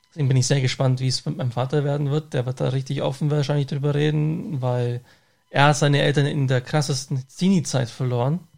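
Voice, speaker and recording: This man talks at a fairly quick pace with a fairly high pitch, a somewhat breathy sound and fairly even intonation. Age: 30s. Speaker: podcast host and bus driver. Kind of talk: casual chat.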